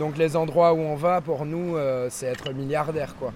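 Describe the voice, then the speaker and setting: Noticeable background noise sits behind a man speaking at a fairly high pitch with fairly even intonation. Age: 20s. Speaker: surfer. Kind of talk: casual chat. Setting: outdoors.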